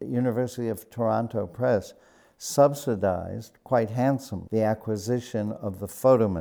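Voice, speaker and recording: A man speaks at a fairly slow pace with an American accent, his tone dark and mellow and his pitch varying in an ordinary way. The recording is very clean, with a silent background. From US Midwest, Chicago South Side. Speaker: retired art history professor. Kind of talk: interview. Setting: gallery.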